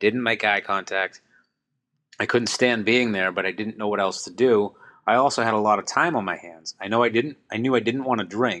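With an American accent, a man speaks at a moderate pace in a bright, sharp tone with ordinary pitch variation over a quiet background. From Boston suburb, Massachusetts. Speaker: person in recovery from alcoholism. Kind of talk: testimony.

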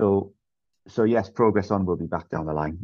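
The speaker is a man. He has a Geordie accent. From northern England, Newcastle. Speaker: DJ and event promoter. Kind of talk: casual interview chat.

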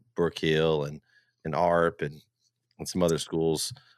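In a dry, close sound with no echo on a very clean recording with a silent background, a man speaks at a moderate pace with a very deep, low pitch and a monotone, flat intonation. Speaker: sports broadcaster.

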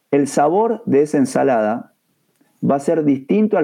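This man's voice sits at a fairly high pitch. It swings very widely up and down. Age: 50s. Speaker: taekwondo instructor. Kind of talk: educational discussion.

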